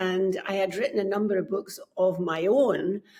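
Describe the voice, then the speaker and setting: A woman with a Scottish accent and a medium pitch. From Scotland. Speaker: book coach. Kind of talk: podcast interview.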